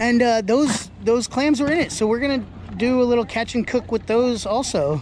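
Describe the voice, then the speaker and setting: The sound is dry with no echo, and light background noise is present. Speech moves at a moderate pace. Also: woman. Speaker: crabbing vlogger. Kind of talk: casual vlog chat. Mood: excited, upbeat. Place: waterside. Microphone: phone near.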